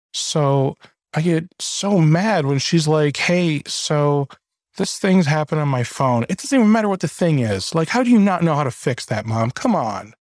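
Recorded very cleanly against a silent background, a man with an American accent speaks at a moderate pace in an ordinary speaking voice, fairly high in pitch and with lively intonation. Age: 30s. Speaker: podcast host. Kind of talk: podcast interview.

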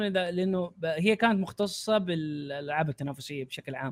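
A man at a moderate pace with lively intonation. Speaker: YouTuber. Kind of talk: casual podcast chat.

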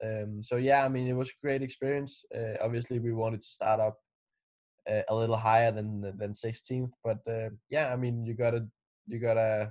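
At a moderate pace, a man with a Danish accent speaks at a medium pitch in a monotone, flat way over a quiet background. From Denmark. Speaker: racing driver. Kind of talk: interview.

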